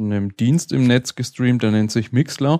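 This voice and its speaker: A slight Franconian accent and a dark, mellow tone in a very clean recording with a silent background and a dry, close sound free of echo. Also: man. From Franconia, Germany. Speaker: podcast host. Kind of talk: casual chat. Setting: live recording at a conference.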